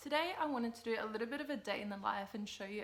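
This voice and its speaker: Talking very fast with an Australian accent, a woman uses lively intonation at a fairly high pitch. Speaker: lifestyle vlogger. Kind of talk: casual vlog. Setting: at home. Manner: soft-spoken.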